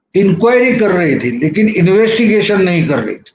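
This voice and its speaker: With a Marathi accent, a man speaks at a high pitch with ordinary pitch variation. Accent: Marathi-accented Hindi. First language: Marathi (speaking Hindi). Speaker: journalist, political commentator. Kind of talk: video commentary.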